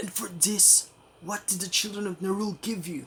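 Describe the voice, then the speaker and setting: Someone performs a put-on character voice. The pitch is middle and the pace moderate. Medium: game stream.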